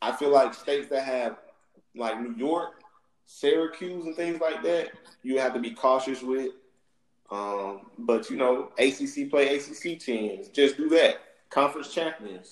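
This man has a Southern US accent and a fairly high pitch. He speaks at a fairly slow pace with lively intonation. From US South. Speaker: sports podcast host. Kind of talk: casual chat.

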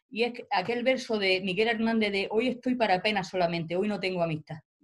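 A woman is talking in a medium-pitched voice. There is ordinary variation in her pitch. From Spain, Almería. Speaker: professor and writer. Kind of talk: interview. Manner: halting.

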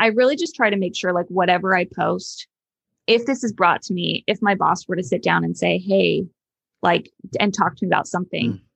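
A woman speaks in a Californian accent with vocal fry at a medium pitch and a fairly quick pace. Her pitch varies in an ordinary way, and the sound is dry and close with no echo against a quiet background. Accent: Californian Valley girl sound. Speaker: school social worker. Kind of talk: casual interview. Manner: frequent likes and ums.

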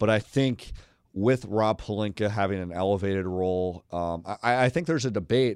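A man with a normal speaking voice talks at a fairly quick pace in a fairly low pitch, with ordinary pitch variation, on a very clean recording with a silent background. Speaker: NBA writer. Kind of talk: interview. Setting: studio.

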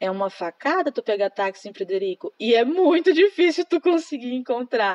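Dry and close with no echo, a woman speaks at a moderate pace and high pitch with very wide pitch swings. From Brazil, Maranhão (Imperatriz). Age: 20s. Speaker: secretary. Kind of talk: interview. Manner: hesitant, many fillers.

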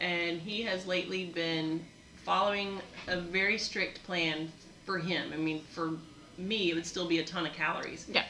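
Amid noticeable background noise, a woman speaks at a fairly slow pace and fairly low pitch, with ordinary pitch variation. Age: older. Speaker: gym owner and fitness coach. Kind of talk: casual chat podcast.

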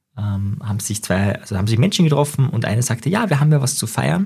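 The voice is somewhat breathy, with a dark, mellow tone and ordinary pitch variation. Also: man. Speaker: psychologist and NLP trainer podcast host. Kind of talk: solo monologue podcast. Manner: fast.

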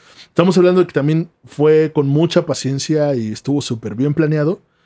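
In a Mexican accent, the speaker talks at a moderate pace with a dark, mellow tone and ordinary pitch variation. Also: man. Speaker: podcast co-host. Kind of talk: storytelling.

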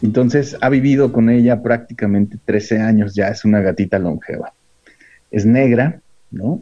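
With a dark, mellow tone, a man speaks fairly slowly at a medium pitch with ordinary pitch variation. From Mexico, Michoacán (Morelia). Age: 40s. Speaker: filmmaker. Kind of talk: casual interview chat.

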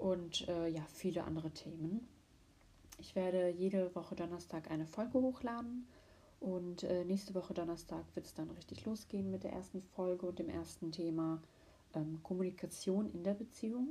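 A woman with a dark, mellow tone and a fairly low pitch speaks at a moderate pace, somewhat breathy, with ordinary pitch variation. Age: 20s. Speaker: podcast host. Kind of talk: solo podcast intro monologue.

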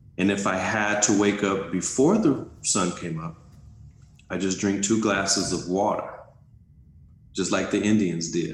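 With an American accent, a man speaks in a fairly low voice at a fairly slow pace, using ordinary pitch variation. Long, frequent pauses and audible room echo mark the clip. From South Central Los Angeles. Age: 50s. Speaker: life coach and entrepreneur. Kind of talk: interview conversation.

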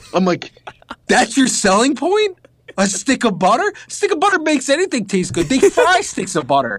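A man speaks at a moderate pace in an extremely high voice. His pitch swings very widely while his loudness stays very even. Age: 20s. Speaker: podcast co-host. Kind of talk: casual chat.

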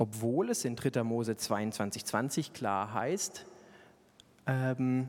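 A man speaks at a medium pitch. His tone is animated and playful. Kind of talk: sermon with humorous storytelling. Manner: animated, conversational, playful with self-deprecating humor; rhetorical, building from relatable anecdote to earnest exhortation.

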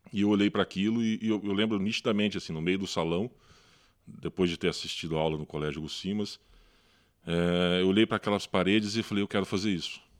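Very fast and fairly low-pitched, a man speaks with fairly even intonation on a very clean recording with a silent background and a dry, close sound with no echo. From Brazil, Paraná interior (Londrina). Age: 40s. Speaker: photo editor. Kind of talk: casual chat. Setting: at home.

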